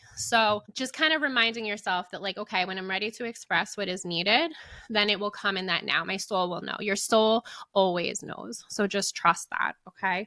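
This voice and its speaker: A woman with a bright, sharp tone talks at a moderate pace, recorded very cleanly with a silent background and a dry, close sound with no echo. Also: medium pitch for a woman, ordinary pitch variation. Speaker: podcast host. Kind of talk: spiritual podcast monologue. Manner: rambling with fillers.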